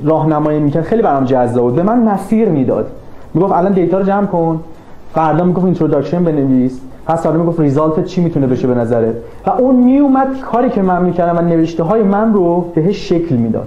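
Over noticeable background noise and audible room echo, a man with a high pitch talks at a very fast pace with lively intonation and very even loudness. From Iran. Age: 20s. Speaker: graduate student. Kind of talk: interview.

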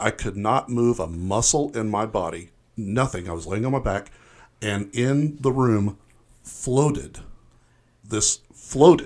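An ordinary speaking voice moves at a fairly slow pace with lively intonation. The recording is very clean, with a silent background. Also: man. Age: 50s. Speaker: stand-up comedian. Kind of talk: casual interview chat.

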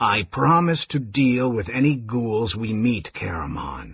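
A man puts on a croaky character voice at a medium pitch. He talks at a fairly slow pace.

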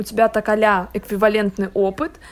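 A woman with a normal speaking voice, medium pitch and a moderate pace. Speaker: podcast host. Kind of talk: casual chat.

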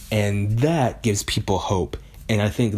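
A man with a fairly low voice, music in the background. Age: 20s. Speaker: podcast host and youtuber. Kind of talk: casual solo monologue. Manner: casual, with many filler ums.

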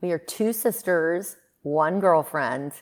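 A woman in a very clean recording with a silent background. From Greece, moved to US at five. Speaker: beverage company co-founder and CEO. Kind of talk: interview conversation.

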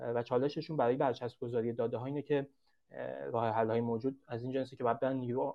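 Speaking at a very fast pace, a man keeps a medium pitch in a monotone, flat intonation. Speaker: startup founder pitching. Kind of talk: sales pitch; casual chat.

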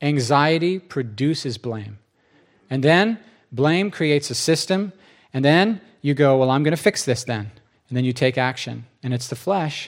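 A man speaks in an animated tone with lively intonation. The recording is very clean, with a silent background. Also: fairly high pitch for a man, moderate pace. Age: 40s. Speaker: pastor. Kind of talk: sermon. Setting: church.

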